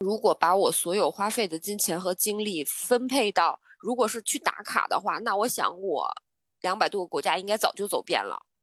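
Sounding dry and close with no echo, a woman with an unremarkable speaking voice holds a medium pitch, varies it in an ordinary way, and keeps a moderate pace. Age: 30s. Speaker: travel planner. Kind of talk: casual chat.

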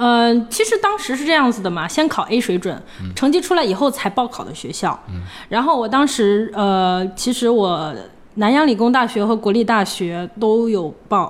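With a Hebei accent, a woman speaks at a moderate pace in a fairly high pitch and lively intonation. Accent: Hebei accent, close to Tianjin intonation. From northern China, Hebei (Hengshui). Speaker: former scholarship student, finance professional. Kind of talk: interview conversation. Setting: at home.

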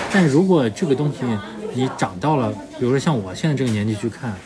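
Over crowd noise in the background, the speech rushes by at a very fast pace. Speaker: podcast host. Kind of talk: casual chat. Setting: whisky bar.

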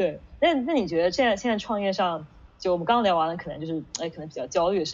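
A woman's very fast, medium-pitched speech with lively intonation. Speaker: management consultant, interviewer. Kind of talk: casual interview conversation. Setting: online video call event.

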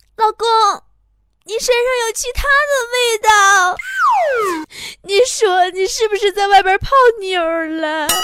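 In a put-on character voice, a woman sounds whiny, with a whiny tone, an extremely high pitch, a fairly slow pace and long, frequent pauses. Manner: pitiful, whiny, pleading.

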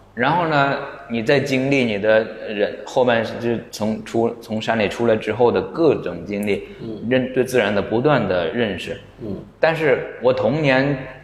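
Over noticeable background noise, a man talks at a fairly slow pace and medium pitch with ordinary pitch variation. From Hunan, near Xiangtan. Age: 40s. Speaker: artist. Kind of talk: casual chat. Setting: studio.

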